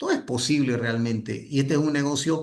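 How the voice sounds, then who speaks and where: Audible room echo surrounds the voice. A man talks with fairly high pitch. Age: 60s. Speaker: network marketing leader and trainer. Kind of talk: motivational training talk. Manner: halting, with many restarts.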